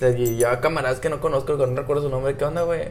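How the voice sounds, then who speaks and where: Music plays behind a man whose voice carries audible room echo. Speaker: friend of the host. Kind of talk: casual chat. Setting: hotel in Cancún, improvised recording.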